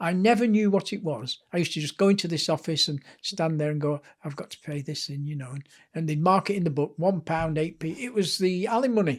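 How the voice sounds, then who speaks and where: The pace is very fast as a man speaks at a high pitch. His pitch varies in an ordinary way. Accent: Lancashire. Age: 70s. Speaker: author and sports historian. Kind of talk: interview storytelling.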